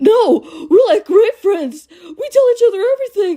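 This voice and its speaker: Using a put-on character voice, a woman talks at a moderate pace with an extremely high pitch. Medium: solo performance.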